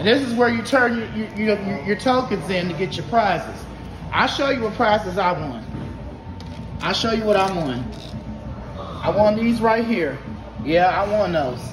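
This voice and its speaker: A man's lively intonation broken by long, frequent pauses, with noticeable background noise. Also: moderate pace. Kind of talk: casual vlog chat. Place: hall. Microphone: phone near.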